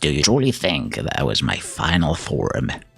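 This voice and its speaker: A man puts on a character voice that is raspy and very deep. He speaks at a moderate pace. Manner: menacing, theatrical.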